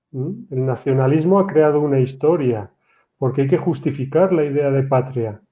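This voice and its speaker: This male speaker's pitch shifts a normal amount while he keeps a moderate tempo. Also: fairly high pitch for a man. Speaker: history teacher. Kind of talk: panel discussion. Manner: halting, many repetitions.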